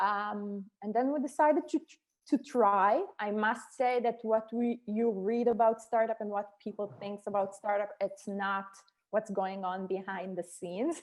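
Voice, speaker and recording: A woman speaks in an Israeli accent at a fairly slow pace. Her pitch is fairly high, with ordinary variation. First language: Hebrew. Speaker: startup co-founder and executive. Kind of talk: podcast interview. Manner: halting, with frequent fillers and restarts.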